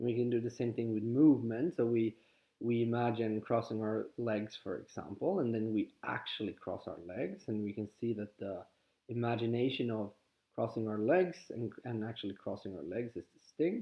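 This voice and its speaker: A man speaks in a Swedish accent. His pace is moderate and his pitch medium. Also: ordinary pitch variation. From Sweden. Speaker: spiritual teacher. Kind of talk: guided exercise talk. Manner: halting.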